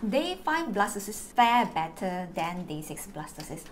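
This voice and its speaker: With lively intonation, a woman talks over light background noise. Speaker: fertility vlogger sharing experience. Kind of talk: informative vlog talk. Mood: warm, encouraging. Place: home room.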